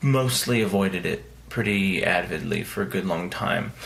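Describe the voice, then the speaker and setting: A man speaks quietly at a fairly low pitch. Noticeable background noise and audible room echo surround him. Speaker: indie author vlogger. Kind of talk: casual vlog monologue. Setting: vacation house. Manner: quiet, hushed.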